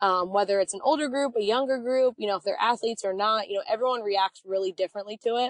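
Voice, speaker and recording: With an American accent, a woman speaks at a fairly high pitch with ordinary pitch variation. She uses hardly any pauses, and the sound is dry and close with no echo. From US Northeast, Reading, Pennsylvania. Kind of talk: interview. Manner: loud.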